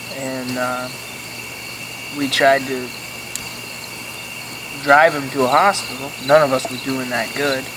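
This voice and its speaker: Fairly slow delivery with long, frequent pauses over noticeable background noise. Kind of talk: campfire story told casually.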